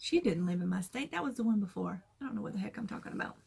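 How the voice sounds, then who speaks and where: The voice carries a south Georgia accent. Its intonation is lively. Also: woman. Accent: Southern US, south Georgia. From US South, south Georgia. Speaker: crafting vlogger. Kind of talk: casual chat.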